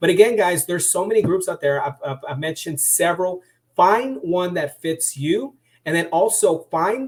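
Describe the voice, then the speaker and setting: A man speaks loudly at a moderate pace, his pitch high for a man. His intonation is lively. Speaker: sales trainer. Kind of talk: webinar. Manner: animated.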